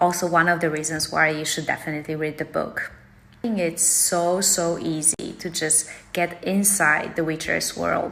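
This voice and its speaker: A woman with a Polish accent, fairly low in pitch, in a monotone, flat intonation amid noticeable background noise. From Poland. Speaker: book vlogger. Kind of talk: casual vlog monologue.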